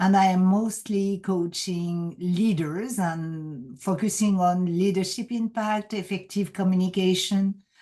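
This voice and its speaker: A woman speaks with a French accent at a medium pitch and a fairly slow pace. Her tone is dark and mellow, her intonation fairly even, with hardly any pauses. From France. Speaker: executive coach. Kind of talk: podcast interview.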